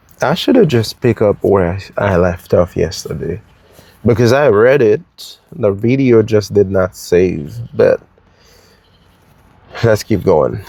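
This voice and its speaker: The sound is dry and close, with no echo. A man at a medium pitch talks at a very slow pace with lively intonation. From Haiti. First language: French or Haitian Creole. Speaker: real estate agent. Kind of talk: reading aloud with casual commentary. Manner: slow, careful enunciation; hesitant, many fillers.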